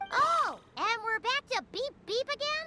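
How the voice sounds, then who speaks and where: An extremely high, squeaky put-on character voice at a fairly slow pace, with music in the background. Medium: video game. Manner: excitable, chatty.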